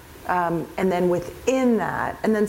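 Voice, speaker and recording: A woman speaks at a moderate pace, her pitch varying in an ordinary way, with noticeable background noise and audible room echo around her. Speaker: event organizer presenting at a conference. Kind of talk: conference presentation with audience Q&A.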